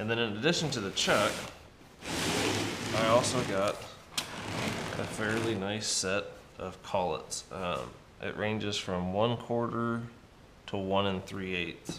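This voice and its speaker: Over noticeable background noise, a man speaks very slowly in a fairly low voice with ordinary pitch variation. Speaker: machinist and fabricator YouTuber. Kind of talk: workshop tutorial vlog. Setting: home workshop. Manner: casual with frequent fillers. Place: garage.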